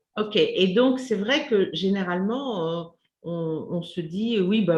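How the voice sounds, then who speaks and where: A somewhat breathy woman's voice of medium pitch with lively intonation. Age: 50s. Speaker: community host, menopause channel. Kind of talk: interview.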